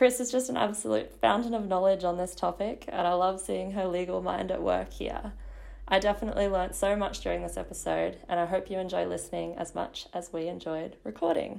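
A woman with an Australian accent talks at a fairly quick pace. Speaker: podcast co-host. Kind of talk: casual chat; scripted intro.

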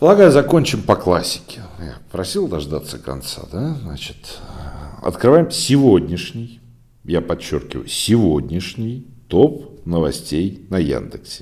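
Very slow and marked by vocal fry, the voice has a dark, mellow tone, very wide pitch swings and big swings in loudness. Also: man, very deep, low pitch for a man. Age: 40s. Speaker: podcast host, site owner. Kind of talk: solo news digest podcast. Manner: conversational, filler-heavy.

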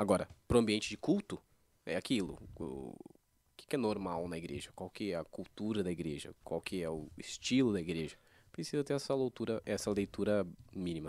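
In a very clean recording with a silent background, a man with a plain, everyday voice speaks at a fairly quick pace, his fairly low pitch carrying lively intonation and big swings in loudness. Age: 20s. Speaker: church worship musician. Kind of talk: casual chat.

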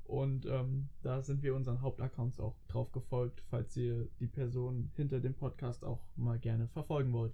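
With music in the background, a man speaks in a monotone, flat intonation at a fairly slow pace with hardly any pauses. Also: medium pitch for a man. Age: 20s. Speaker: student and podcast co-host. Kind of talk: casual chat.

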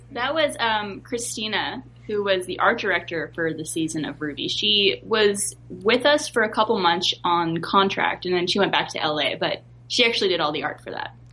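A woman at a medium pitch speaks with very wide pitch swings. Noticeable background noise is present. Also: moderate pace. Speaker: voice actor. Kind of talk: casual chat.

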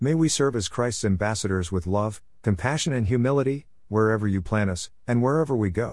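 A plain, everyday voice moves at a fairly quick pace with lively intonation over a quiet background. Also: man. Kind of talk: fervent intercessory prayer. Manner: earnest, solemn, pleading; measured, reverent pace.

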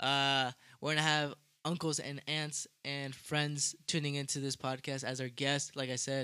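Bright and sharp in tone, a man's fairly high-pitched voice comes through with a dry, close sound and no echo. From Mexican heritage. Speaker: podcast co-host. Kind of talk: casual chat. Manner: animated.

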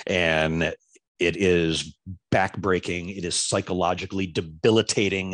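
A man speaks in a very deep, low voice at a fairly slow pace. His intonation is monotone and flat. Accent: American. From Florida. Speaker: former TV news anchor and reporter, now podcaster. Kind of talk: casual interview chat.

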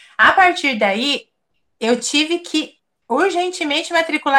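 Her delivery is fairly slow. The woman's intonation stays lively throughout. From Brazil. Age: 40s. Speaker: emigrant interviewee. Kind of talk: interview.

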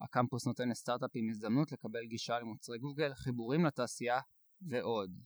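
At a fairly quick pace, a man with a medium pitch and fairly even intonation speaks in a very clean recording with a silent background and a dry, close sound with no echo. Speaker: podcast host. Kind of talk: scripted introduction; casual interview. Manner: fast.

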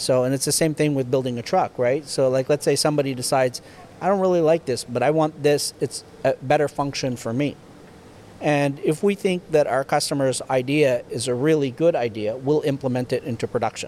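Fairly quick, fairly high-pitched speech from a man with ordinary pitch variation, a normal speaking voice. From Canada, rural Ontario near Ottawa. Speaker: tow truck manufacturer, business owner. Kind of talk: interview, casual chat. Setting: factory.

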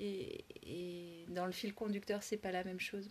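Her pitch medium, a woman delivers her words in a monotone, flat intonation. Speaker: podcast host and workshop leader. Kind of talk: casual interview. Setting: outdoors on a walk.

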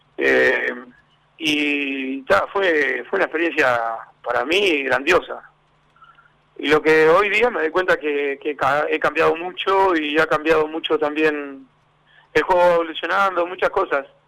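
A man with a fairly high voice and ordinary pitch variation speaks with long, frequent pauses. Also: fairly slow pace. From Uruguay, Montevideo (Villa del Cerro). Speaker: former footballer and football coach. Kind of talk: radio interview.

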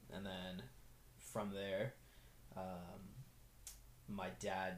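A man talks in a low pitch with a slightly mellow tone. His intonation stays fairly even.

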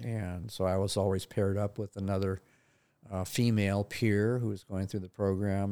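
Heard in a very clean recording with a silent background, a man with an American accent, a fairly low pitch and a dark, mellow tone speaks at a moderate pace. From California, Santa Barbara County. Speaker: retiring therapist. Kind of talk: casual interview. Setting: studio.

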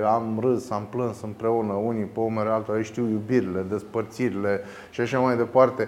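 Speaking at a moderate pace, the man has medium pitch. His intonation is monotone and flat. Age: 40s. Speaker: philosophy teacher. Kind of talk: interview.

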